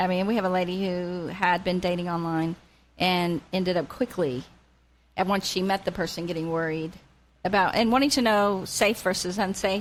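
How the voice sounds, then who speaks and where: On a very clean recording with a silent background, a woman speaks at a moderate pace. She has a plain, everyday voice at medium pitch with ordinary pitch variation. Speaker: radio show host and life coach. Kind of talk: talk radio show host. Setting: radio studio.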